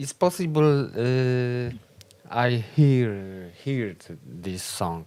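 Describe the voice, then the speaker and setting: A man speaks very slowly with a Polish accent, leaving long, frequent pauses. His medium-pitched voice has lively intonation. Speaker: folk band musician, show co-host. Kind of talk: casual chat. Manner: halting.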